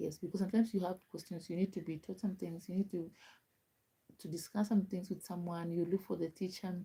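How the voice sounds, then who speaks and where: In a Kenyan accent, a woman speaks very fast in a somewhat breathy voice with a dark, mellow tone and monotone, flat intonation. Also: medium pitch for a woman. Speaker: live streamer. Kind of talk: casual chat.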